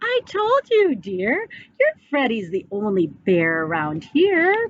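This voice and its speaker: A woman's put-on character voice, high-pitched and fairly slow. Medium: read story. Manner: gentle, soothing.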